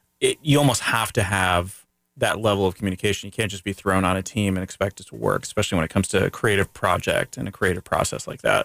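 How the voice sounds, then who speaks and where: A man talks at a very fast pace in an American accent, his pitch fairly low with ordinary variation. The sound is dry and close with no echo, on a very clean recording with a silent background. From Florida, US. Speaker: radio host. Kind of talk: casual radio interview. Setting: radio studio. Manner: rambling.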